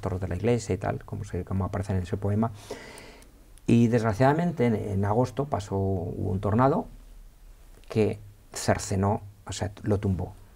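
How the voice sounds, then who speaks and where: A man with an Aragonese accent speaks at a moderate pace in a fairly low, somewhat breathy voice. His tone is dark and mellow, with ordinary pitch variation. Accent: Aragonese (maño) accent, kept. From Spain, Aragon (Villafranca de Ebro). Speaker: historian and university teacher. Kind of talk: interview. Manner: hesitant, many fillers and repetitions.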